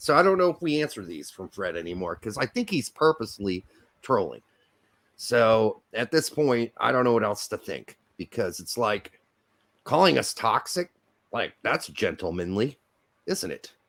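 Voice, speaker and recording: A loud man with an American accent speaks at a moderate pace and medium pitch, his voice moving through very wide pitch swings. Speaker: football podcast co-host. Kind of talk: casual chat.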